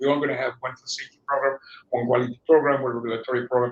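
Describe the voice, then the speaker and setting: A man with a non-native accent. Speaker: food safety executive. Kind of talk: interview. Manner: halting, frequent repetitions.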